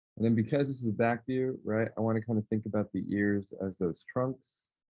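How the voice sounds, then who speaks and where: A man talks at a fairly quick clip in a normal speaking voice. His pitch sits in the middle range, with fairly even intonation. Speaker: art teacher. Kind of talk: tutorial. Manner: casual.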